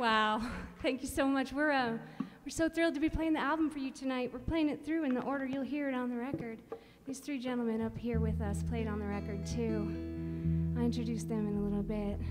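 A very fast pace over clear music in the background. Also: woman. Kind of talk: stage banter introducing a song. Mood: warm, cheerful. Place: stage. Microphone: studio mic.

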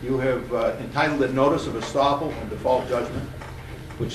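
Noticeable background noise sits under a man's fairly quick delivery. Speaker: judge. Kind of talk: courtroom proceedings. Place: hall. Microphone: camera far.

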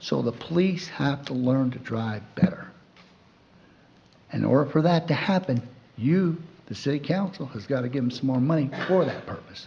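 A man speaks with long, frequent pauses and ordinary pitch variation. The room echo is audible, and background noise is noticeable. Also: fairly high pitch for a man, moderate pace. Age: 60s. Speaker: public commenter at city council meeting. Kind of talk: public comment. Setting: city council meeting.

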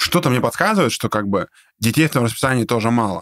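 An animated man of medium pitch talks with ordinary pitch variation in a dry, close sound with no echo, on a very clean recording with a silent background. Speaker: business podcast host. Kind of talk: casual interview. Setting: studio.

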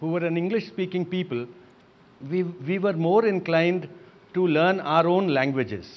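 A man with an Indian accent speaks at a moderate pace in a high voice, his pitch varying in an ordinary way. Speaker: writer and poet. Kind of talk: televised panel debate. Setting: studio. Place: home room. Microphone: lapel.

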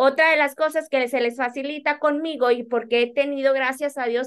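The background is quiet. A woman speaks at a high pitch with fairly even intonation. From Monterrey, Nuevo León, Mexico. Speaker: accountant and business owner; guest. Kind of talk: interview. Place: office. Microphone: video call.

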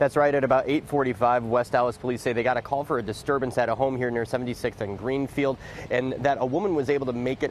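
A man talks at a fairly quick pace with fairly even intonation. Light background noise is present, and the sound is dry with no echo. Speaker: TV news reporter. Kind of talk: live news report. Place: street.

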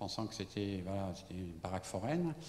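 A man talks with lively intonation at a fairly low pitch, sounding somewhat breathy. There is audible room echo and light background noise. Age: 70s. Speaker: architect. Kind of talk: lecture. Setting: stage with audience. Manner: halting. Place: hall. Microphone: handheld.

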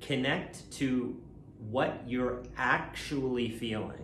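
A man's voice carries audible room echo. Light background noise is present. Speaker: coach. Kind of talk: calm self-help talk to camera. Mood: calm, reassuring. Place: kitchen. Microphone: phone near.

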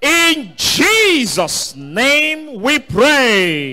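A man speaks in a raised, projected voice with an animated tone. His pitch swings very widely. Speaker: preacher. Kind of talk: sermon with call-and-response prayer. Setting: church service streamed online. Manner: commanding, urging the audience to stand, lift hands and pray aloud. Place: church. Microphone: handheld.

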